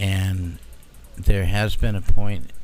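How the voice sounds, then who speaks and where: With audible room echo, a man speaks in a very deep, low voice and monotone, flat intonation. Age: 60s. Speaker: UFO witness guest. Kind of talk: casual chat. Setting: live broadcast at a convention.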